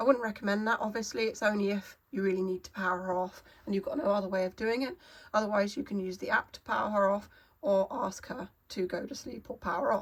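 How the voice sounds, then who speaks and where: A woman speaks at a very fast pace in a medium-pitched, somewhat breathy voice with ordinary pitch variation. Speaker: artist and YouTuber. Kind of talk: casual talk to camera. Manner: hesitant, many fillers.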